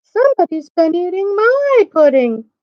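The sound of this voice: A put-on character voice, female-sounding, with extremely high pitch, very wide pitch swings and a moderate pace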